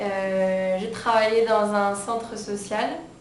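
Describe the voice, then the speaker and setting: Amid noticeable background noise and audible room echo, a woman speaks at a very slow pace in a medium-pitched voice with monotone, flat intonation. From France. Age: 20s. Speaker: humanitarian volunteer. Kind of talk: interview. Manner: hesitant, many fillers.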